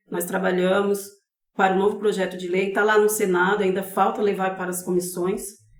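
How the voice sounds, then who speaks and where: Over audible room echo, a woman speaks at a fairly quick pace in a monotone, flat intonation. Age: 50s. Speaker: advocate for elderly caregivers. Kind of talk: podcast interview.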